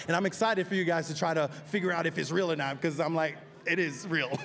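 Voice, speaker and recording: A man's fairly high voice at a very fast pace, fairly even in intonation, with noticeable background noise. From Haiti. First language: French. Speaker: actor. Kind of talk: red carpet interview. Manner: halting.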